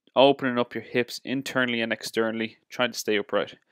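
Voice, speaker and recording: A man at a fairly quick pace in a monotone, flat intonation, with a dry sound, no echo and a quiet background. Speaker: fitness coach. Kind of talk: tutorial. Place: gym.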